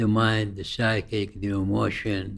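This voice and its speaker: The man's pitch is fairly low and his intonation monotone and flat. He talks at a very slow pace. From Iraq. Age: 80s+. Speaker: Sufi teacher. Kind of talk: interview answer.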